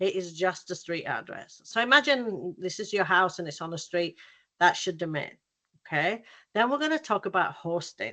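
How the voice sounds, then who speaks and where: A woman's medium-pitched voice, bright and sharp in tone, with a British accent, lively intonation and a moderate pace, against a quiet background. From UK. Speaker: graphic designer and workshop presenter. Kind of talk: workshop presentation. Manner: casual, many fillers.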